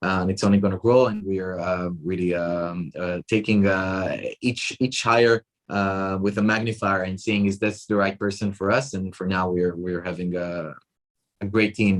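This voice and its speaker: The speaker has an Israeli accent. Intonation stays fairly even. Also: man, very deep, low pitch for a man, moderate pace. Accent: Israeli, non-Australian. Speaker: tech company chief executive. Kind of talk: interview. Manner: halting, many fillers and repetitions.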